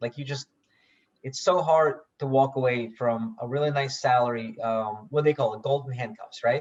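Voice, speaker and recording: His voice comes across as somewhat breathy. This man talks at a medium pitch, and his pitch varies in an ordinary way. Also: moderate pace. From Russia, moved to US 1992. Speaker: software founder and real estate investor. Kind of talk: podcast interview. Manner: repeats words, stammering starts.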